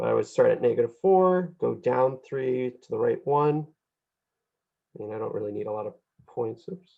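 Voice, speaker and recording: There are big swings in loudness and long, frequent pauses as a man talks at a moderate pace. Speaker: math teacher. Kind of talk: lecture. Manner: casual, with fillers.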